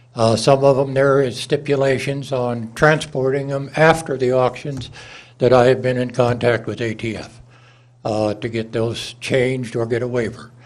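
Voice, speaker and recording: Audible room echo rings through the recording. Intonation stays fairly even at a moderate pace. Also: man, medium pitch for a man. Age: 80s+. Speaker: public commenter, licensed firearms dealer. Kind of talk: public comment at city council. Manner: halting with frequent uh.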